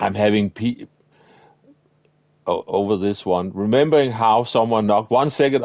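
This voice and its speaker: A man with a Danish accent speaks with ordinary pitch variation in a dry, close sound with no echo. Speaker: gaming streamer. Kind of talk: live gameplay commentary. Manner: casual, chatty.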